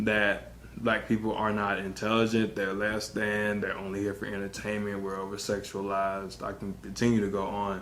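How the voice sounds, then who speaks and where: Audible room echo follows a man with an American accent as he speaks at a moderate pace in a fairly low pitch. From Texas, Wharton County. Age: young. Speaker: engineer sharing personal experience. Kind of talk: interview testimony.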